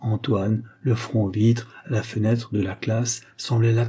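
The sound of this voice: A reading voice, unforced and natural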